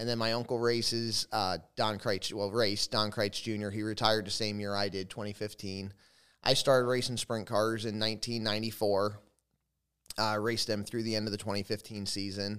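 This man talks fairly quickly at a fairly low pitch, in a flat monotone. The recording is very clean, with a silent background. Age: 40s. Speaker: former sprint car driver, manufacturing operations manager. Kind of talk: casual interview chat. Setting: trophy room at a family compound. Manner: halting, with frequent fillers.

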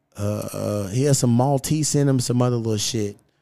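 A man talks at a fairly slow pace in an animated tone. His pitch varies in an ordinary way. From Kentucky, US. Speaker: podcast host. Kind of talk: casual chat.

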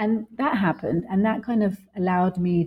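The voice moves at a moderate pace with ordinary pitch variation. It sounds somewhat breathy. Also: woman. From London, England. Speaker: professor. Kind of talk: interview. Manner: hesitant fillers.

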